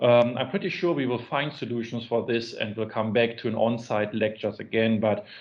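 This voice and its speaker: The man talks at a fairly quick pace with hardly any pauses, in a German accent. His pitch is medium with ordinary variation. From Germany. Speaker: business school administrator. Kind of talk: webinar interview. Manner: halting, many fillers.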